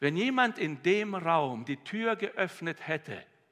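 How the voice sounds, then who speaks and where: The man's intonation is lively, and the background around him stays quiet. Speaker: preacher. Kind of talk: sermon. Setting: church. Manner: warm, earnest, heartfelt preaching. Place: church. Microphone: headset.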